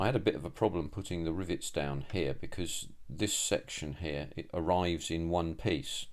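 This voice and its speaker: With vocal fry and a very deep, low pitch, a man speaks at a moderate pace with hardly any pauses. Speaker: scale model builder. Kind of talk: tutorial. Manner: monotone; halting, many fillers.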